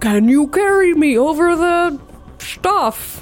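A put-on character voice with a high pitch speaks at a very slow pace while clear music plays in the background.

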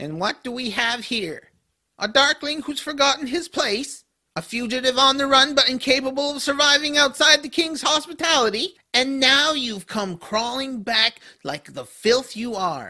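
The voice has a high pitch. Its pace is moderate. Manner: sneering, contemptuous.

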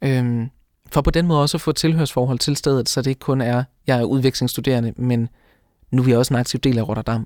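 A man with a plain, everyday voice, medium pitch, fairly even intonation and very even loudness at a fairly quick pace, in a dry, close sound with no echo on a very clean recording, silent background. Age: 20s. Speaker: law student. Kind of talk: interview.

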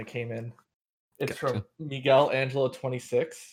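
Over a quiet background, an ordinary speaking voice talks with fairly even intonation. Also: man. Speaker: podcast host. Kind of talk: casual interview.

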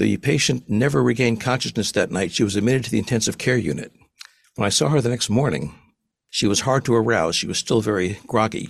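A man's medium-pitched voice with vocal fry at a very fast pace, on a very clean recording with a silent background. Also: ordinary pitch variation. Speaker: psychiatrist and professor researching near-death experiences. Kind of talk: interview, storytelling.

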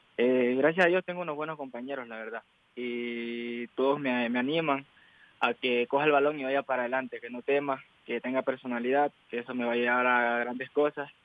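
With an ordinary speaking voice, a man at medium pitch talks at a fairly quick pace with fairly even intonation. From Ecuador. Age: 20s. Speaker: footballer. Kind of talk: interview.

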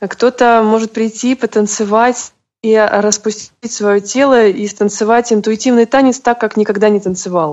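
A woman with a normal speaking voice talks at a fairly high pitch and a moderate pace. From Russia, St Petersburg. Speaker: bodywork practitioner and massage therapist. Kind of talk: interview.

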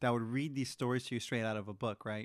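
A man's normal speaking voice at medium pitch, with ordinary pitch variation and a quiet background. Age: 20s. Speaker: podcast co-host. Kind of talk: casual chat.

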